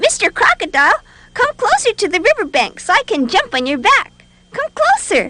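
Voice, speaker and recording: This is a put-on character voice with an extremely high pitch and very wide pitch swings. The pace is moderate. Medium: read story.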